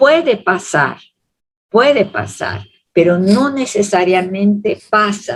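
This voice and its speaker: Speaking at a very slow pace, a woman keeps a medium pitch and lively intonation. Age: 70s. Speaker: theologian lecturer. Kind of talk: Q&A answer at public lecture. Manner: halting.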